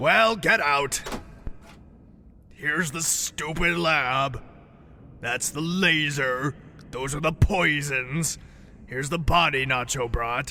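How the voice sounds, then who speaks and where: A man in a put-on character voice, with long, frequent pauses and clear background noise. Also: fairly high pitch for a man, fairly slow pace. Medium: audio drama.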